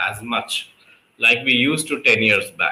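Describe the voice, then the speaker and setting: At a moderate pace, a man speaks with an Indian accent. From Delhi, India. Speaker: public speaking coach and English tutor. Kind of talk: conversation practice session.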